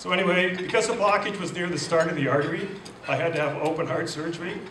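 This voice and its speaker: A man speaks very fast in a Canadian accent, his pitch high and his intonation fairly even. Audible room echo and noticeable background noise surround him. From Canada, Ontario (Lambton County). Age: 60s. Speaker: heart attack survivor, keynote speaker. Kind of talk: speech to an audience. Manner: hesitant, many fillers.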